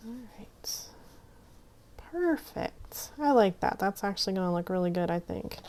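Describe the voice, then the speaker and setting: A woman mumbles at a medium pitch and a moderate pace, her intonation lively, with long, frequent pauses. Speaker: craft youtuber. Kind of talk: crafting tutorial. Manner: mumbling; casual, chatty.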